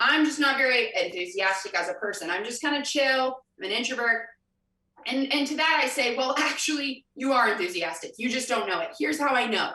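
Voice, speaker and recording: Projecting a raised voice at a fairly quick pace, a woman with a high pitch and an American accent speaks with lively intonation amid audible room echo. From US Midwest, Kansas City. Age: 20s. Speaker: motivational speaker. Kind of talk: convention breakout talk. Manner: animated.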